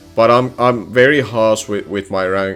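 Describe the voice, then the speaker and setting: A man's fairly low voice at a moderate pace with ordinary pitch variation, music playing in the background. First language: non-English. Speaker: competitive gaming analyst. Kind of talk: solo commentary video. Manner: halting.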